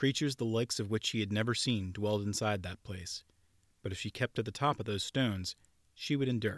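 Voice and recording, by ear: The pitch varies in an ordinary way as the text is read aloud in a natural voice.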